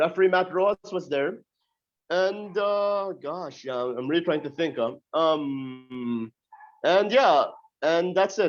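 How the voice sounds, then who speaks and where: This loud voice moves at a very slow pace with lively intonation. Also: man, high pitch for a man. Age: 20s. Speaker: pro wrestler. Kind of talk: interview.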